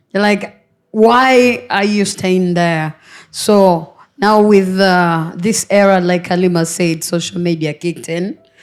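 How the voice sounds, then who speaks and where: The speaker talks at a very slow pace with music in the background. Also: woman. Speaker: panel guest. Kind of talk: panel discussion. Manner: halting.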